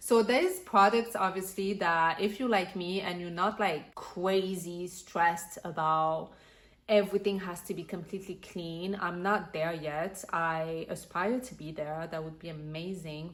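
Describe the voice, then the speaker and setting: A woman speaks in a fairly low voice with a French accent. She talks at a fairly slow pace, and her loudness swings widely. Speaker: lifestyle vlogger. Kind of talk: casual vlog talk.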